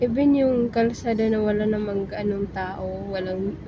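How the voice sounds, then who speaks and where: A soft-spoken woman talks at a fairly slow pace in a fairly high pitch. Audible room echo and noticeable background noise fill the recording. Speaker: vlogger. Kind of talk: travel vlog narration. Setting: on a bus.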